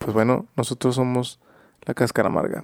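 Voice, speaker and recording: An ordinary speaking voice at a fairly quick pace, with a dry, close sound and no echo. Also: man. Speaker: podcast host. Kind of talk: casual chat.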